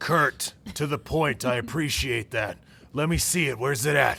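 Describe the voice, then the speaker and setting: A man growls in a raspy, put-on character voice at a fairly high pitch. He keeps a moderate pace and very even loudness. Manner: curt, to the point.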